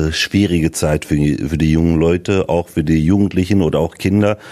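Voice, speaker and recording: A man speaks in a very deep, low pitch with a dark, mellow tone and ordinary pitch variation. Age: 40s. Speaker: local politician. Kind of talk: interview. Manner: hesitant, many fillers.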